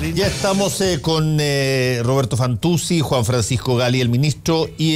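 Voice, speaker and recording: A man at a medium pitch, lively intonation and a very slow pace, with music in the background. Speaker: radio host. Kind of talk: radio panel discussion.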